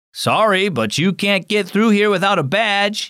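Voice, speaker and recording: Putting on a gruff character voice, a man talks at a high pitch and moderate pace with fairly even intonation. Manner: gruff, stern.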